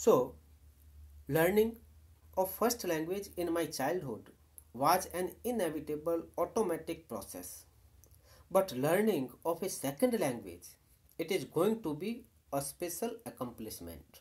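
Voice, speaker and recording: Long pauses come often in this Indian-accented speech. The pace is fairly slow. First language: Hindi. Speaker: university lecturer. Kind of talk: lecture. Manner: formal.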